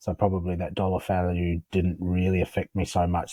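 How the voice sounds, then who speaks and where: This man has a very deep, low voice with a dark, mellow tone and talks at a moderate pace. The recording is very clean, with a silent background. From England, Warwickshire (Midlands). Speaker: builder. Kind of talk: casual chat. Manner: hesitant, many fillers.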